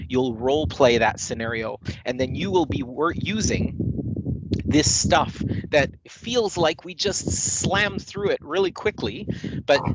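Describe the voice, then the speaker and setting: Noticeable background noise runs under this man's voice. His fairly high pitch swings very widely at a fairly slow pace. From Canada, Manitoba (Winnipeg). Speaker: corporate trainer. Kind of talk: online training session; casual chat. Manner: hesitant, many fillers. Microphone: echo.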